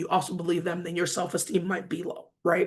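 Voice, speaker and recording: This is a woman with an American accent. Her pitch is medium. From Detroit, US Midwest. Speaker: author and finance speaker. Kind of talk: talk to an online audience.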